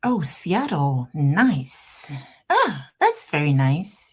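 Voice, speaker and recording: A woman with a Ghanaian accent, a very deep, low pitch, a somewhat breathy quality and lively intonation. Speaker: immigration lawyer hosting a livestream. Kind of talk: live stream Q&A. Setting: office, livestream.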